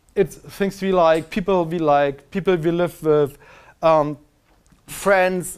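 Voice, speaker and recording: A man's unremarkable speaking voice, fairly high in pitch, at a fairly slow pace in a very clean recording with a silent background. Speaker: software developer giving a tech talk. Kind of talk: lecture.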